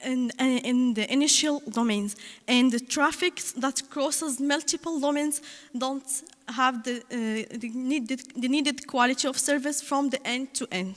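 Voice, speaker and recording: Speaking at a fairly slow pace, a woman uses a high pitch with fairly even intonation. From Morocco. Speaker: conference presenter, researcher. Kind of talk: conference talk. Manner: halting, many fillers.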